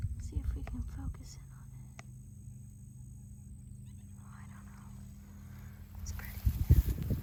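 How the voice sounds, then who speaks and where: Whispering at a very slow pace, with long, frequent pauses, big swings in loudness and noticeable background noise. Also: woman. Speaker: shamanic reiki practitioner and ASMR creator. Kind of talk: casual talk to camera. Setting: outdoors, windy park.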